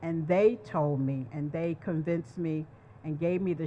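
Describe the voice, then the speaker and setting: A woman with an ordinary speaking voice talks at a fairly slow pace, her pitch fairly low with ordinary variation. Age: 60s. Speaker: HIV survivor and advocate. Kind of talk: testimony.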